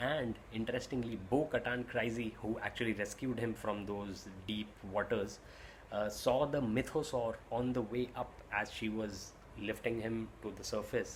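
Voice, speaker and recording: A somewhat breathy man with an Indian accent speaks at a fairly slow pace, medium in pitch with fairly even intonation. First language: Hindi. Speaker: YouTube reviewer and vlogger. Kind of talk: casual watch-along review.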